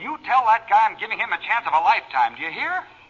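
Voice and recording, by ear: Pitched high, a man puts on a character voice with very wide pitch swings. He talks at a very fast pace in a fairly bright tone.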